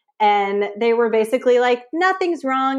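Speaking with a Californian accent, a woman uses a high pitch and lively intonation at a fairly slow pace. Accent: Californian American. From San Francisco Bay Area. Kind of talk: casual interview chat. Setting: live video call.

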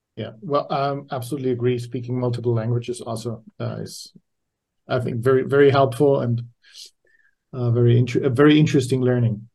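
Somewhat breathy, a man with a medium pitch talks at a fairly quick pace with fairly even intonation. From Austria. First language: German. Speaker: podcast host. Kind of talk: interview, casual chat.

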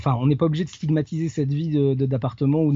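A man speaks at a very fast pace in a somewhat breathy voice. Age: 40s. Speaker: itinerant wedding photographer and wood carver. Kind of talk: interview. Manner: halting, many repetitions and fillers. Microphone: connection sometimes poor.

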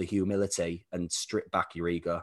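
A man with a British accent speaks at a fairly quick pace. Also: quiet background. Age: 30s. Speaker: performance coach. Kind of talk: casual interview chat.

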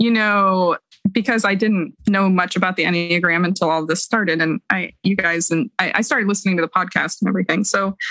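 Recorded dry and close with no echo, a woman speaks in a normal speaking voice at a medium pitch with ordinary pitch variation. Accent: American. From Ohio, US Midwest. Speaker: podcast panel guest, cancer patient. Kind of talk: casual chat.

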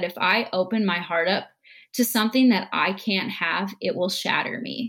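At a moderate pace, a woman with a plain, everyday voice and medium pitch speaks with an American accent. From US Midwest, Minnesota. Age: 20s. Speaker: guest. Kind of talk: casual chat.

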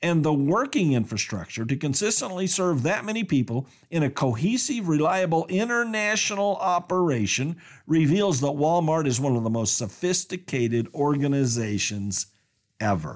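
In a Colorado accent, a man speaks at a fairly high pitch with very wide pitch swings and a moderate pace. His loudness stays very even on a very clean recording with a silent background. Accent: American (Colorado). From Colorado, small town. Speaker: business podcast host. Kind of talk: scripted narration.

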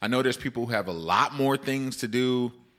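An animated man at a fairly quick pace, medium pitch and a bright, sharp tone, recorded very cleanly against a silent background. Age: 40s. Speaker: podcast host and dialysis patient. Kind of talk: casual solo podcast monologue.

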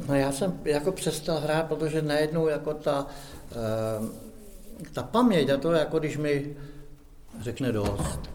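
With audible room echo and noticeable background noise, a man speaks at a fairly high pitch with ordinary pitch variation and long, frequent pauses. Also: fairly slow pace. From Czech Republic, Šumava region near Rabí. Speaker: amateur actor. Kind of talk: casual chat.

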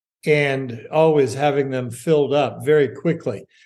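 With a fairly high pitch, a man talks at a fairly slow pace. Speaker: podcast host. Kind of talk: interview. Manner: halting, frequent fillers.

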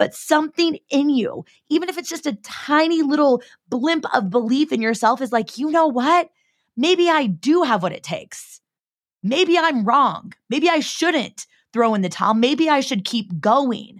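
A woman with a West Coast American accent, high pitch and lively intonation, at a fairly slow pace on a very clean recording with a silent background. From US Pacific Northwest, Seattle. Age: 30s. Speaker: podcast host and entrepreneur. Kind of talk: heartfelt solo pep talk, confiding like a girlfriend. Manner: casual, filler-heavy with frequent 'like'; warm, earnest and encouraging, reflective inner-monologue questioning.

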